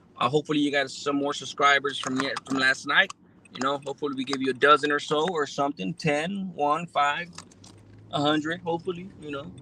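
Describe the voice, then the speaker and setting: A man with an American accent, fairly high in pitch, talking at a fairly quick pace with fairly even intonation, over noticeable background noise. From Los Angeles area, California. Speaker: live streamer. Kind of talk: casual live stream chat. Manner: laid-back, slangy with many fillers.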